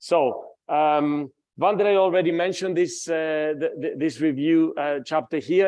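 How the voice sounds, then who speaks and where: With a fairly high pitch, a man talks using ordinary pitch variation. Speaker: physics professor. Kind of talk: lecture. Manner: loud; animated.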